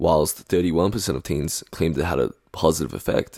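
Vocal fry at a moderate pace in a very clean recording with a silent background. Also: man. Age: 20s. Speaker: podcast host. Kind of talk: solo podcast monologue.

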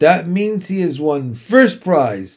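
A man's put-on character voice, fairly high and slow, slightly mellow in tone, with big pitch swings.

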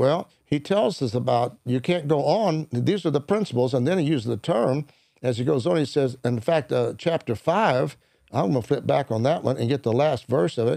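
With lively intonation and some vocal fry, a man speaks in a dark, mellow tone at a medium pitch and moderate pace, his loudness very even in a very clean recording with a silent background. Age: 70s. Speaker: minister and mentor. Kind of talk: conversational interview.

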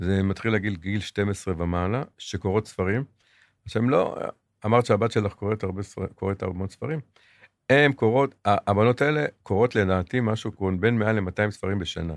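Recorded dry and close with no echo, a man with an unremarkable speaking voice talks at a fairly quick pace, his fairly low pitch showing ordinary variation. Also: very clean recording, silent background. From Israel, Jerusalem. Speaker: retail executive. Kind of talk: interview.

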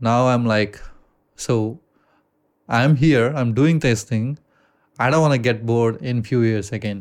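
Speaking with an American accent, a man uses a medium pitch and fairly even intonation at a moderate pace, with long, frequent pauses, on a very clean recording with a silent background. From India. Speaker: podcast co-host. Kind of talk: casual chat. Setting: studio.

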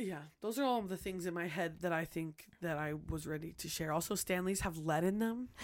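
A woman with an unremarkable speaking voice, fairly low pitch and ordinary pitch variation, at a fairly quick pace in a very clean recording with a silent background. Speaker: podcast co-host. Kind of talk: casual chat. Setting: studio.

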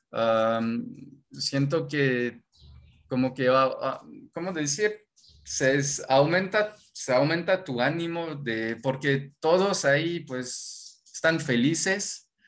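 Speaking at a very slow pace in a Mexican accent, a man uses a fairly high pitch and lively intonation. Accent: sounds fully Mexican in Spanish. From France, Normandy. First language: French (speaking Spanish). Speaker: former exchange intern. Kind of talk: interview. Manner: hesitant, many fillers.

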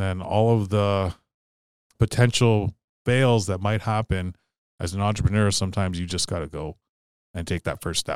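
With a northern Ontario accent, a man speaks at a fairly low pitch and a moderate pace, using ordinary pitch variation and long, frequent pauses, in a very clean recording with a silent background and a dry, close sound with no echo. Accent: Canadian (northern Ontario). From Sault Ste. Marie, Ontario, Canada. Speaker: entrepreneur and public speaker. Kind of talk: interview.

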